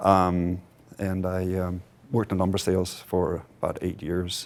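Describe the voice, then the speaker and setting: A man with a Danish accent speaks with a very deep, low pitch. His pace is fairly slow and his intonation monotone and flat. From Denmark. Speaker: company board member, entrepreneur. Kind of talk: conference interview. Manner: hesitant, many filler words.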